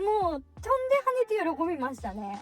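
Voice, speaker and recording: A woman talks at a moderate speed with music playing behind her. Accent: strong Kyushu. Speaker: motorcycle vlogger. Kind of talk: voice-over narration of touring vlog. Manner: casual, chatty.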